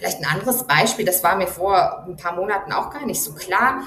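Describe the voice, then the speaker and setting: Moderate-paced speech from a woman, with noticeable background noise and audible room echo. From Germany. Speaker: journalist, foreign correspondent. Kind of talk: interview.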